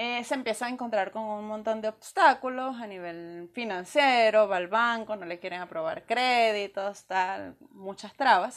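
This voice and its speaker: A woman with a plain, everyday voice speaks at a fairly slow pace and a fairly high pitch. Her pitch variation is ordinary, while her loudness swings widely. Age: under 58. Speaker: podcast co-host. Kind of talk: casual chat.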